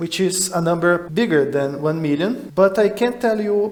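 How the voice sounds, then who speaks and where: A man's high-pitched voice with a Portuguese accent and ordinary pitch variation, over noticeable background noise. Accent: Portuguese-speaking non-native English. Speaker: math puzzle explainer. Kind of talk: educational explainer talk.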